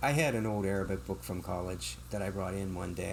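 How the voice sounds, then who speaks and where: With a very deep, low pitch, a man speaks with vocal fry. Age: 60s. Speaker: bookstore owner. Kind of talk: podcast interview.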